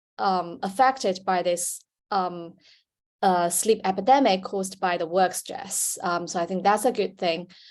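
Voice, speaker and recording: Against a quiet background, a woman with a Chinese accent speaks at a fairly slow pace, medium pitch and ordinary pitch variation. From China. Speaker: sleep researcher, panelist. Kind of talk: panel discussion. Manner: hesitant, many fillers.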